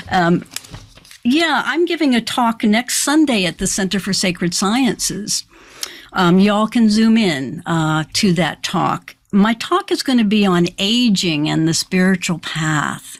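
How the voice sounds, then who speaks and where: A woman with an American accent talks at a fairly slow pace. Her pitch swings very widely. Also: medium pitch for a woman. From US Midwest (Iowa). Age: 70s. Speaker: spiritual teacher. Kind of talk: interview.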